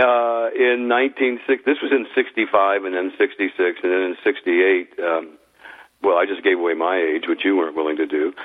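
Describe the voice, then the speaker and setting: A man speaks at a fairly slow pace with a fairly low pitch. His is an unremarkable speaking voice, with ordinary pitch variation. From US, Idaho. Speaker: former music executive and author. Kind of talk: interview.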